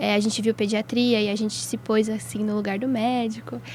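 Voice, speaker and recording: With noticeable background noise behind her, a woman speaks with fairly high pitch and fairly even intonation. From São Paulo state interior (Atibaia), Brazil. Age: 20s. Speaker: medical student. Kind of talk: casual chat.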